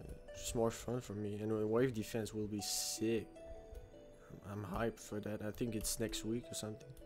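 Fairly slow speech over music in the background. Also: man. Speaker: video game streamer. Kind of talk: casual gameplay commentary.

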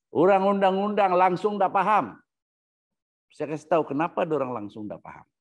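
A man speaks at a fairly quick pace in a high pitch with ordinary pitch variation. His loudness swings widely over a quiet background. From Sabah, Malaysia (born Sandakan); Sabah, Malaysia. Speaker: researcher on constitutional history. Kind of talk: lecture. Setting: Facebook live session. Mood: earnest, somewhat aggrieved. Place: home room. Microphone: lapel.

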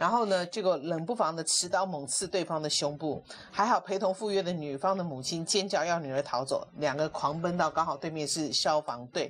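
A woman talks at a fairly quick pace with hardly any pauses. Light background noise sits behind her. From Taiwan. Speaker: talk show host. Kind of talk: casual chat. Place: studio. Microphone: lapel.

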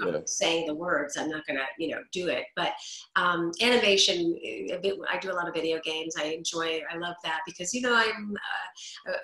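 A fairly low-pitched woman at a fairly quick pace, ordinary pitch variation, audible room echo and a quiet background. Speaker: voice actor. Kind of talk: interview answer. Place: home room. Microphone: video call.

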